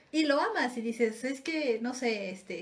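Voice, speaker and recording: A woman's high voice at a very slow pace, with noticeable background noise. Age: 30s. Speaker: podcast co-host. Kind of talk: casual chat.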